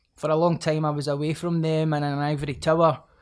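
A man in a Scottish accent, monotone and flat in intonation, on a very clean recording with a silent background. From Scotland. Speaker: author and rapper. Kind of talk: casual interview chat.

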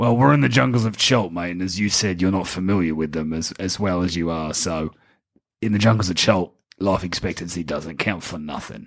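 This put-on character voice is raspy and runs at a fairly quick pace. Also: man, very deep, low pitch for a man. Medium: actual play. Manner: blunt, profane, impatient.

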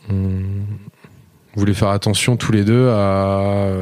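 The speaker is a man with a fairly low pitch. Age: 30s. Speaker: entrepreneur. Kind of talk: casual chat.

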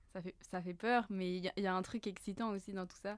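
Her speech moves fairly quickly, and the woman's pitch sits in the medium range. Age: 20s. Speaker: business school student. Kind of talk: casual chat.

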